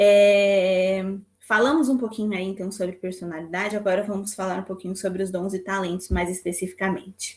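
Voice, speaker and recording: This woman talks with fairly even intonation at a medium pitch and a moderate pace. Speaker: psychologist teaching a church class. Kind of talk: lecture.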